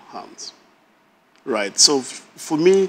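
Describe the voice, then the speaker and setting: Very slow speech from a man with a northern Nigerian accent and ordinary pitch variation. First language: Hausa. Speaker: married guest on a couples show. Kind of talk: casual chat.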